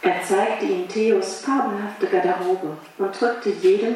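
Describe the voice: Someone reads aloud in a plain manner.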